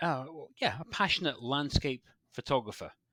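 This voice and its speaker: With a Scottish accent and a medium pitch, a man speaks in a dry, close sound with no echo, on a very clean recording with a silent background. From Scotland, West Highlands. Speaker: landscape photographer. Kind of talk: podcast interview. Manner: halting, many repeats and fillers.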